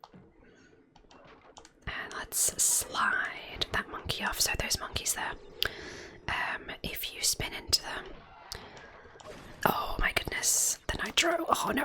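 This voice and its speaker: A woman whispering in a relaxed tone at a very slow pace, over noticeable background noise. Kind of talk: whispered gameplay commentary. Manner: whispered; relaxed, soft-spoken.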